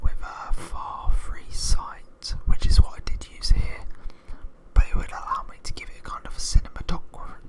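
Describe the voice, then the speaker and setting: Someone whispers in a relaxed tone at a moderate pace amid noticeable background noise. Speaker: ASMR YouTuber, gamer. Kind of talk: casual talk to camera, ASMR intro. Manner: whispered, close, relaxed.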